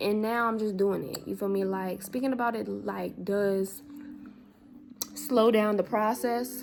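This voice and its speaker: Noticeable background noise accompanies this woman. She speaks at a medium pitch and a fairly slow pace. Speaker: spiritual vlogger. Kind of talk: casual vlog monologue. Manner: animated, colloquial.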